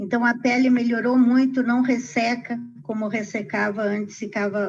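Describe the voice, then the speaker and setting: A woman speaks in a plain, everyday voice, her fairly high pitch held to fairly even intonation at a fairly slow pace. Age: 60s. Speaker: customer. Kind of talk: testimony.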